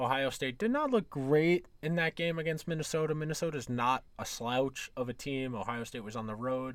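Here a man with an American accent uses a normal speaking voice, fairly high in pitch. He keeps a moderate pace and ordinary pitch variation in a very clean recording with a silent background. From New York area. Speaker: sports podcast host. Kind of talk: solo podcast monologue, sports betting talk. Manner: casual, conversational.

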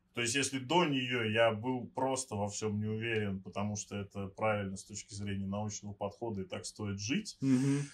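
Fairly even intonation and a fairly quick pace in an ordinary speaking voice. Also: man. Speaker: podcast co-host. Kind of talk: casual chat.

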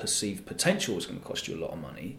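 A man with an Essex accent speaks, with audible room echo around his voice. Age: 30s. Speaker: radio DJ. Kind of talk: casual chat.

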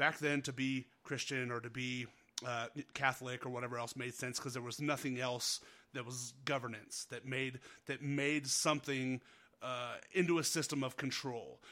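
In a Northern Nevada accent, a man with a medium-pitched voice speaks at a moderate pace in a flat monotone. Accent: Northern Nevada American. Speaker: podcast host. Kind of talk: casual chat. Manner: casual, friendly.

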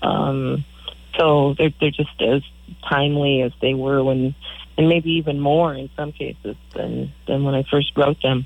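A woman speaks with an American accent in a very deep, low voice. Her intonation is monotone and flat, and her pace is fairly slow. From Michigan. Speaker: singer-songwriter. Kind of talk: radio interview.

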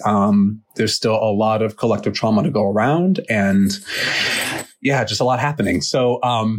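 Over noticeable background noise, the speaker uses ordinary pitch variation. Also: man. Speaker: podcast host, therapist. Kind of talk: casual chat, podcast check-in.

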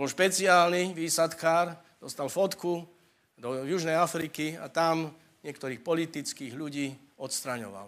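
A man's fairly high voice carries ordinary pitch variation as he talks at a fairly slow tempo. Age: 60s. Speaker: preacher. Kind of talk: sermon.

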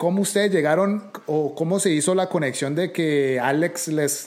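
Fairly high in pitch, a man talks at a moderate pace in an unremarkable speaking voice with ordinary pitch variation. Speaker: podcast host. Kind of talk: interview conversation.

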